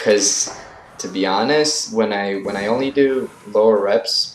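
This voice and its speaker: A man talks at a very slow pace with music playing in the background. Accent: non-native. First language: not English. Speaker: fitness vlogger. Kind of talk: voice-over commentary on workout footage. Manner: casual, hesitant with fillers.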